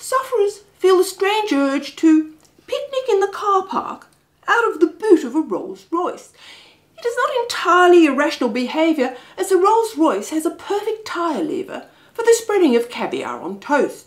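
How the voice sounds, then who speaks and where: Very wide pitch swings at a moderate pace over a quiet background. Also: woman, extremely high pitch for a woman. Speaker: comic storyteller. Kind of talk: comic reading. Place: home room.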